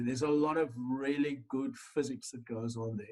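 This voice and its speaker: A man speaks in an unremarkable speaking voice. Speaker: lecturer. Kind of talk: lecture.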